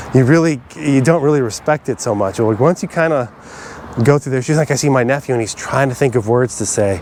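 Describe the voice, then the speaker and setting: A man speaks at a fairly quick pace in a medium pitch with ordinary pitch variation, over noticeable background noise. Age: 40s. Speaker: vlogger. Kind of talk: personal reflection monologue. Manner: fast; halting.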